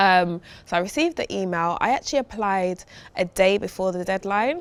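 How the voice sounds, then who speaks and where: This woman talks at a fairly quick pace in a strong East London accent, with ordinary pitch variation. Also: medium pitch for a woman. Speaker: food brand founder. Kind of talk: podcast interview.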